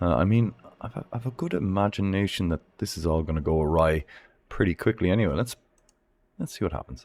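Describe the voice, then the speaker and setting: This man has an Irish accent and a very deep, low pitch. His intonation is lively. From Ireland. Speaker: gaming streamer. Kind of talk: live game commentary. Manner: animated.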